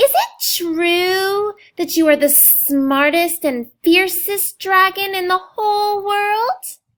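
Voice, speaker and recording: Using a put-on character voice at an extremely high pitch, a woman speaks very slowly with hardly any pauses. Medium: read story.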